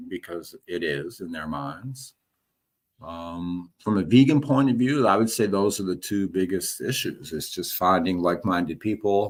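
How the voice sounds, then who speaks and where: A man with a very deep, low pitch speaks at a moderate pace with lively intonation, on a very clean recording with a silent background. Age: 60s. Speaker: retired business professor and vegan activist. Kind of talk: interview. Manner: hesitant, with many fillers.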